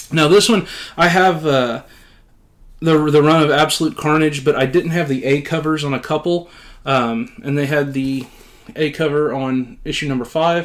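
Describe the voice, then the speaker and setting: In a very clean recording with a silent background, a man speaks at a fairly high pitch with ordinary pitch variation. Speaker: comic book YouTuber. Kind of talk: casual chat. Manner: fast.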